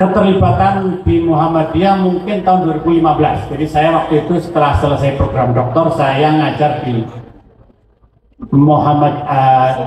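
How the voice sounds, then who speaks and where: Over noticeable background noise and audible room echo, a man speaks at fairly high pitch with ordinary pitch variation. His pace is moderate and his loudness very even. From Central Java, Pekalongan area. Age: 60s. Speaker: company director and school alumnus. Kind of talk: ceremonial speech. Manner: halting, with fillers.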